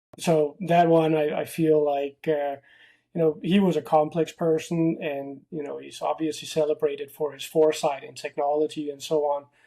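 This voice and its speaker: With a Danish accent, a man speaks at a moderate pace and fairly high pitch in a dark, mellow tone, his intonation monotone and flat but his loudness swinging widely. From Denmark. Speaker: tech company founder. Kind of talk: casual interview. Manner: hesitant, many fillers.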